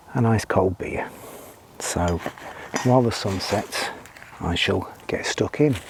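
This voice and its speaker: Over noticeable background noise, a man with a fairly low pitch speaks quietly at a very slow pace, with long, frequent pauses. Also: ordinary pitch variation. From UK. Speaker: outdoor vlogger. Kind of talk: casual vlog narration. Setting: outdoors.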